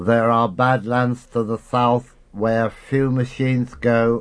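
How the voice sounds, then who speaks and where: A man puts on a character voice. He holds a medium pitch at a fairly slow pace. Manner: slow, ponderous, lisping badly.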